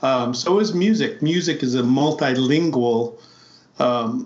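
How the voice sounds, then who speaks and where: A man speaks at a medium pitch. Audible echo from the room surrounds his voice. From US Midwest, South Dakota Lakota reservation. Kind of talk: interview conversation. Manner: halting.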